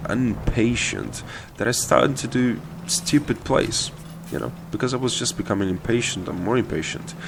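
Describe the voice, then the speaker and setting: Over noticeable background noise, a man with a non-native accent talks at a fairly quick pace and a fairly low pitch. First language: not English. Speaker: gaming video creator. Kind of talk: gameplay commentary tutorial. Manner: casual, many hesitations and repeated words.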